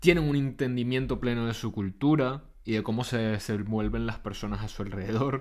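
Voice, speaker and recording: In a very clean recording with a silent background, a man with a Caracas Venezuelan accent speaks at a moderate pace and medium pitch, with ordinary pitch variation. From Venezuela, Caracas. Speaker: podcaster and psychotherapist. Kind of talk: reflective monologue.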